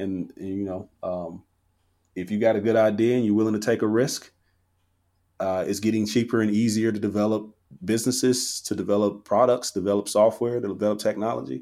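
Over a silent background in a very clean recording, a man speaks fairly quickly in an ordinary speaking voice, fairly low in pitch with fairly even intonation. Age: 30s. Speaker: software company founder. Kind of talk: casual interview.

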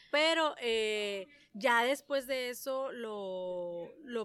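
Fairly high pitch from a woman, varying in an ordinary way. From San Luis Río Colorado, Sonora, Mexico. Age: 30s. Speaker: entrepreneur. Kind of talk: casual interview chat. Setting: on a ranch. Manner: talkative.

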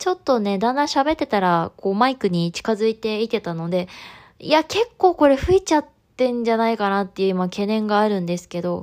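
The recording of this woman is very clean, with a silent background and a dry, close sound free of echo. She speaks fairly quickly with lively intonation and a fairly high pitch. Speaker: podcast host. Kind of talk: solo podcast monologue.

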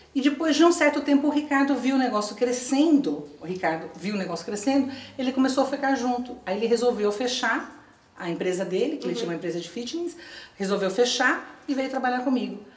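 Talking at a very fast pace with very wide pitch swings, the voice comes through noticeable background noise and audible room echo. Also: woman, high pitch for a woman. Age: 50s. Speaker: retired teacher, patchwork entrepreneur. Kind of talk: interview.

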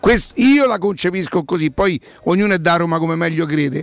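Over noticeable background noise, a man with a high voice talks at a moderate pace in an animated tone, his pitch swinging very widely. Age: 60s. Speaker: sports radio host. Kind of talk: casual chat; sales pitch. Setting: studio.

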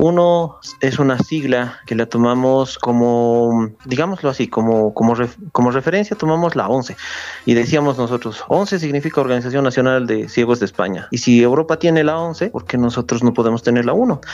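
A man talks at a moderate pace and medium pitch, with ordinary pitch variation. There is noticeable background noise. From Bolivia, Oruro. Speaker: psychologist, head of an association for the blind. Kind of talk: interview.

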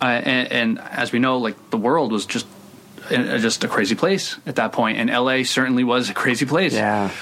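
Speech in an American accent at a moderate pace with ordinary pitch variation, over noticeable background noise. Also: man, medium pitch for a man. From Providence, Rhode Island, US. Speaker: screenwriter. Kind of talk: casual interview.

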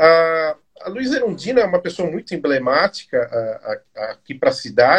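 The sound is dry and close with no echo. A man talks at a moderate pace. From São Paulo, Brazil (eastern periphery). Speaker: live show host, history institute. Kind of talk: interview. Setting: online live stream.

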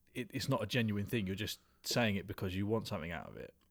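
This man talks at a very fast pace. He has a British accent. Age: 30s. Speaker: podcast host. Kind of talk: casual chat.

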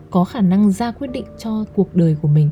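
Noticeable background noise sits behind a woman speaking at a fairly low pitch with ordinary pitch variation. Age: 20s. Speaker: podcast host. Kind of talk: personal monologue.

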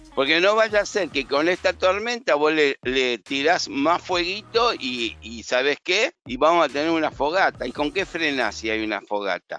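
With an Argentine accent, a man speaks at a fairly slow pace with hardly any pauses, his bright, sharp tone set at a fairly high pitch with very wide pitch swings, in a dry, close sound with no echo. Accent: Rioplatense Argentine Spanish. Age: 70s. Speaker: stock market analyst and teacher. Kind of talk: casual market commentary chat.

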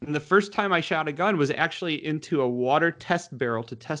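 A man talks at a very fast pace with an American accent. His pitch variation is ordinary. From Michigan, Detroit suburbs. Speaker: former federal agent turned actor. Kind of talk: interview. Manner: halting, with frequent restarts.

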